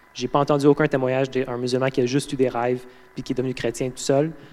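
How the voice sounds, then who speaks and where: In a Quebec accent, a man talks at a fairly quick pace and medium pitch with monotone, flat intonation. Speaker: guest preacher, mentorship intern. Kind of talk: sermon. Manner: halting, many fillers and repetitions.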